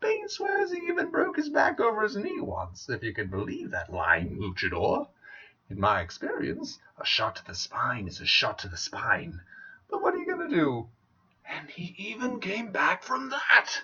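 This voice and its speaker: A man's put-on character voice at a moderate pace. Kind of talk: comic villain monologue. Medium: solo performance. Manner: theatrical, mocking, wordplay-laden.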